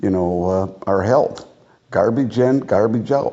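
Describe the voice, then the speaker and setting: Fairly slow speech from a man with a fairly low pitch and ordinary pitch variation. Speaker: son and video producer. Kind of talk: casual conversation.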